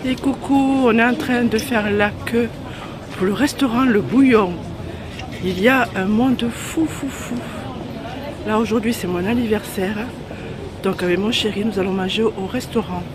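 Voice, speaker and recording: Amid crowd noise in the background and audible room echo, a woman with a fairly high pitch talks at a fairly slow pace with ordinary pitch variation and long, frequent pauses. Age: 60s. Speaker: vlogger. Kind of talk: casual vlog. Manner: halting.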